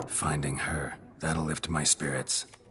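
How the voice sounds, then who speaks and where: The speaker puts on a character voice at a fairly slow pace. Background noise is clearly audible. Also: man, very deep, low pitch for a man. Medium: short film. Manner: terse, deadpan.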